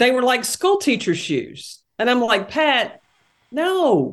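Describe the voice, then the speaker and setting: A woman with a Tennessee accent, her fairly high voice swinging very widely in pitch. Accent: Southern, Tennessee drawl. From Tennessee, Knoxville. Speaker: basketball analyst and former coach. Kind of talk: casual chat.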